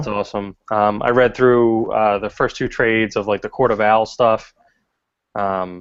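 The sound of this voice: Monotone, flat intonation carries the words along at a moderate pace. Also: man.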